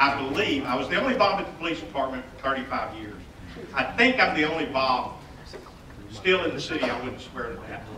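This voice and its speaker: A man talks at a moderate speed, with audible room echo and light background noise. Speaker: city staff host. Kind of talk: public meeting welcome speech. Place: hall.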